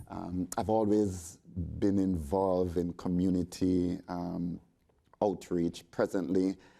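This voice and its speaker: At a very slow pace, a man with a Jamaican accent speaks in a very deep, low, dark and mellow voice with monotone, flat intonation, on a very clean recording with a silent background. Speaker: resort sales representative. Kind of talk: panel discussion.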